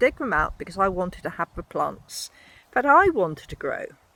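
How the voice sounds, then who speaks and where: Her tone is bright and sharp as a woman speaking at a medium pitch. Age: 60s. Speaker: podcaster. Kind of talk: walking monologue.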